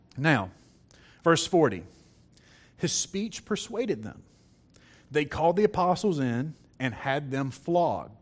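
Over a silent background in a very clean recording, a man with a fairly high pitch speaks at a fairly slow pace, swinging his pitch very widely and taking long, frequent pauses. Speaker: preacher. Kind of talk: sermon. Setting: church.

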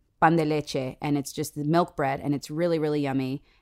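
Heard in a very clean recording with a silent background, a woman with an American accent speaks at a very deep, low pitch with fairly even intonation. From San Diego, California. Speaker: actress and voice actor. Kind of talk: casual chat.

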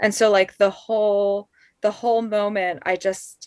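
In a normal speaking voice, a woman with a General American accent talks at a fairly slow pace and medium pitch, with a dry, close sound and no echo. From Colorado Springs, Colorado. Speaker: podcast producer. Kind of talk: casual interview chat.

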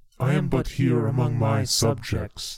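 In a put-on character voice, a man speaks fairly slowly. His pitch sits in the medium range.

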